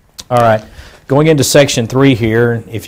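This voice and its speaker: A man talks at a medium pitch with an American accent. His pitch varies in an ordinary way. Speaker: attorney. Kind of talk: lecture. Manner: fast.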